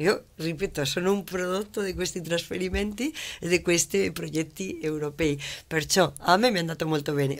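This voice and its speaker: With ordinary pitch variation, a woman talks in a fairly low pitch. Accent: Spanish. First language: Spanish (speaking Italian). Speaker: business owner, labour consultant. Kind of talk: studio interview. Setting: TV studio.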